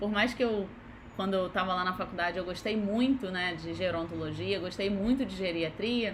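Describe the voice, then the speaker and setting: A woman with a somewhat breathy voice talks at a moderate pace with ordinary pitch variation, with audible room echo. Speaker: physiotherapist. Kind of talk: live online lecture. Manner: casual conversational.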